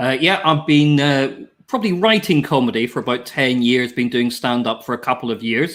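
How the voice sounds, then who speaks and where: Speaking in a Northern Irish accent, a man keeps a medium pitch and moderate pace, with ordinary pitch variation and hardly any pauses. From Northern Ireland. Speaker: comedian. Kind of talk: casual chat.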